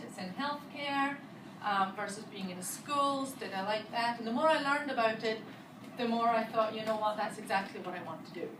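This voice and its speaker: A woman with a Scottish accent talks at a fairly quick pace in a fairly high pitch with lively intonation. Audible room echo and noticeable background noise fill the recording. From Scotland. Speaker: physical therapist. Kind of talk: talk to students.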